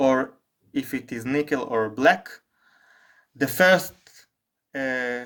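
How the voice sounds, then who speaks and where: This is a man with a non-native accent. His pitch sits in the middle range. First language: not English. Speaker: firearms hobbyist reviewer. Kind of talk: product review talk to camera.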